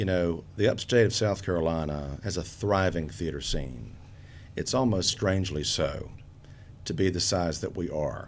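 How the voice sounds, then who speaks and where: Audible room echo surrounds a man whose very deep, low voice shows ordinary pitch variation. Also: moderate pace. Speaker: theater director and actor. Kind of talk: casual interview. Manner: expressive.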